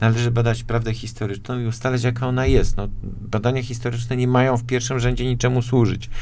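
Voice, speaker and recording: A man speaks at a medium pitch and a very fast pace in a flat monotone, with audible room echo and music playing in the background. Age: 40s. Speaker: politician. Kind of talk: radio interview. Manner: halting.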